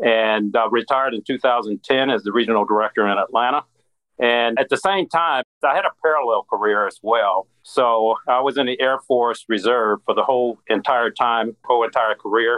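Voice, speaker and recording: An American-accented man with an unremarkable speaking voice talks at a moderate pace and medium pitch. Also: ordinary pitch variation. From US Midwest. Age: 60s. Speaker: former regulator, credit union strategist. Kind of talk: interview.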